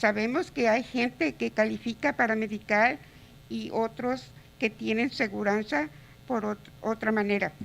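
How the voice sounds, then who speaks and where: A woman's fairly high voice with vocal fry, lively intonation and a moderate pace. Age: 60s. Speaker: home care provider, public commenter. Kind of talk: public comment.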